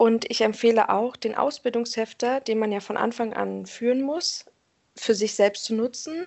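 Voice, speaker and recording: A woman with an ordinary speaking voice, fairly high in pitch, at a fairly slow pace and with fairly even intonation. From Berlin, Germany. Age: 30s. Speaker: pharmacy commercial assistant. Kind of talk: interview.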